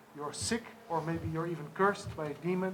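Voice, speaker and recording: A man with a high voice talks very fast, with ordinary pitch variation and audible echo in the room. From Netherlands. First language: sign language. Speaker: charity organizer. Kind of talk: press conference.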